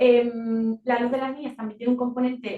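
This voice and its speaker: A woman speaks in a fairly high voice at a moderate pace. Her intonation stays flat and monotone. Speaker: NGO communications officer. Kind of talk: presentation at a meeting. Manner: soft-spoken; hesitant, many fillers.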